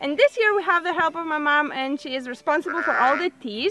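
Over faint music in the background, a woman uses a raised, projected voice. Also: dry sound with no echo. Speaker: farm vlogger. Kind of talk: casual vlog chat. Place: garden.

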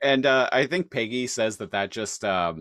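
A man talks with a Canadian accent and lively intonation. The background is quiet. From Canada. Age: 30s. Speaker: podcast host. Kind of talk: casual chat. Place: home room.

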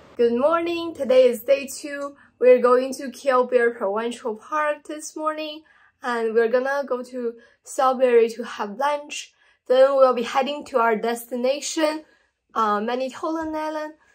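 Against a quiet background, a woman talks at a fairly slow pace. Her voice is high-pitched with fairly even intonation. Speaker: travel vlogger. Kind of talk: casual vlog chat. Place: home room. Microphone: phone near.

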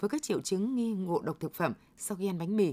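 A woman with a dark, mellow tone at a very fast pace. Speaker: radio news presenter. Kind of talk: news reading. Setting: studio. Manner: formal. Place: studio.

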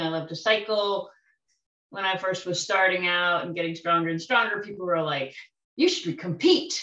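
Against a quiet background, a woman with a bright, sharp tone speaks at a moderate pace, and audible room echo fills the room. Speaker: tai chi student. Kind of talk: casual group discussion. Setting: video call. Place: home room. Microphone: video call.

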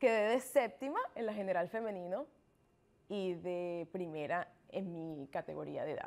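With lively intonation, a woman talks at a fairly slow pace. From Venezuela. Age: 20s. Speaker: triathlete; interview guest. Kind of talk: interview. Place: studio. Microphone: lapel.

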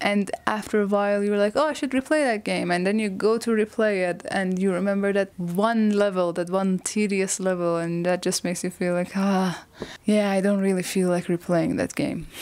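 The speaker is a woman with a non-native accent. She talks at a fairly quick pace. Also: ordinary pitch variation. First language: not English. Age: 20s. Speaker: YouTuber. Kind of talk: video essay monologue. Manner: casual, self-deprecating. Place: home room. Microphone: lapel.

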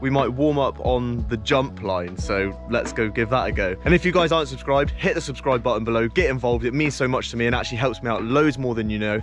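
Clear music plays behind a man talking at a very fast pace with hardly any pauses. The sound is dry, with no echo. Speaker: mountain bike vlogger. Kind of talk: casual vlog chat. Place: forest. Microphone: phone near.

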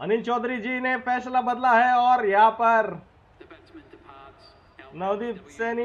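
A man speaks at an extremely high pitch, leaving long, frequent pauses. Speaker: gamer doing live match commentary for a cricket video game. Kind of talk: excited sports commentary.

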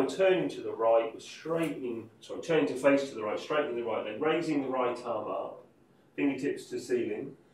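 The man keeps a moderate pace. Audible room echo surrounds his speech. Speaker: yoga teacher. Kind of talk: guided class instruction. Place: home room. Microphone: camera far.

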